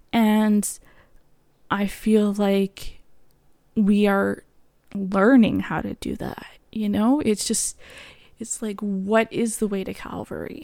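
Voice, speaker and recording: With a Canadian accent, a woman speaks at medium pitch in a monotone, flat intonation. The recording is very clean and the background silent. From Canada. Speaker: podcast host. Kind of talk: solo podcast monologue. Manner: halting.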